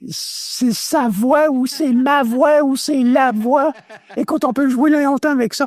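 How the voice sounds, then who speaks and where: Someone with a Quebec accent speaks at a very slow pace with ordinary pitch variation, the sound dry and close with no echo. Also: man. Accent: Québécois French. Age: 70s. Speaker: former radio host. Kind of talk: interview testimony.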